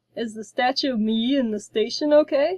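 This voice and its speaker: A woman puts on a character voice pitched high. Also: moderate pace, dry, close sound with no echo. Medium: read story. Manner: earnest, courtly.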